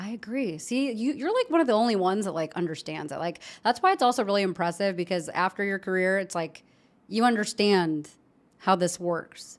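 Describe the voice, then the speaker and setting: In a very clean recording with a silent background, a woman with an American accent and a normal speaking voice talks at a fairly quick pace, her medium pitch shaped by lively intonation. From Chicago. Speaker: podcast host. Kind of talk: interview. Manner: casual.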